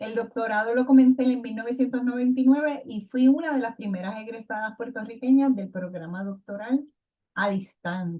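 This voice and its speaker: In an ordinary speaking voice, a woman talks at a moderate pace with fairly high pitch, ordinary pitch variation and big swings in loudness. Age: 60s. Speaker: retired education professor. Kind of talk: recorded lecture presentation.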